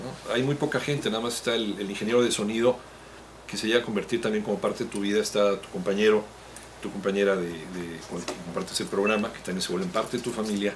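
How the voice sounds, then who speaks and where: Very fast male speech, fairly low in pitch and fairly even in intonation, with noticeable background noise. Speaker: radio announcer. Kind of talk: interview answer. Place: office. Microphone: handheld.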